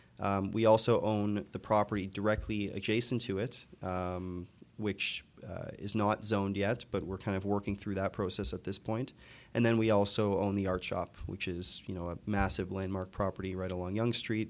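A man with a Canadian accent speaks at a moderate pace in a fairly low, monotone voice with flat intonation. The recording is very clean, with a silent background. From Toronto, Canada (Scarborough). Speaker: real estate developer. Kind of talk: interview.

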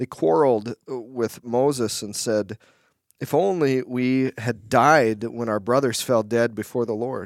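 An unremarkable speaking voice with ordinary pitch variation on a very clean recording with a silent background. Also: man, medium pitch for a man. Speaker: pastor. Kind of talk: podcast Bible discussion.

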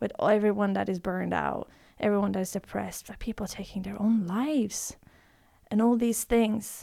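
A woman speaks with a Norwegian accent at a moderate pace. The recording is very clean, with a silent background. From Norway. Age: 20s. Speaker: breathwork teacher. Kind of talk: casual chat.

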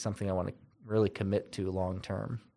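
A plain, everyday voice from a man with an American accent, fairly low in pitch and fairly quick in pace, on a very clean recording with a silent background. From upstate New York. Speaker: business unit director. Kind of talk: interview. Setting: in person, masks on.

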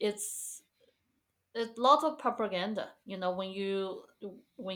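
A woman with a Chinese accent speaks at a medium pitch and a fairly slow pace. Her intonation is lively, and the recording is very clean with a silent background. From China, Guizhou province (Guiyang). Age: 30s. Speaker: pianist and musician. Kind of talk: interview.

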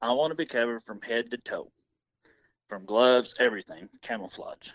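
A man with an American accent has a plain, everyday voice, speaking at a moderate pace in a medium pitch with ordinary pitch variation. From US Midwest, Missouri. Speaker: hunter and outdoor YouTuber. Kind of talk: interview.

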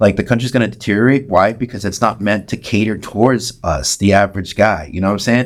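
A man speaks at a very fast pace with an American accent and a fairly low pitch. The recording is very clean, with a silent background. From San Antonio, Texas. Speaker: podcaster and musician. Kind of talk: casual chat.

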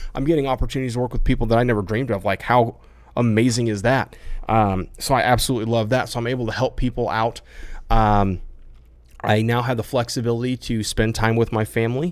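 Talking at a very fast pace, this man has an energetic tone, a medium pitch and an American accent. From US Midwest, rural Iowa. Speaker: entrepreneur and online coach. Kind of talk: personal vlog monologue to camera. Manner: casual, energetic.

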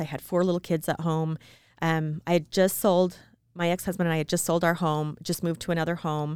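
An ordinary speaking voice with an American accent. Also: woman, very clean recording, silent background. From small-town Utah. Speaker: podcast co-host. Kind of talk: casual chat.

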